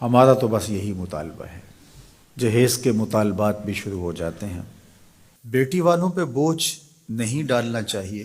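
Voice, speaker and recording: A man's ordinary speaking voice, medium in pitch, with lively intonation. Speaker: Islamic preacher. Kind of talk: religious sermon (bayan) on marriage customs.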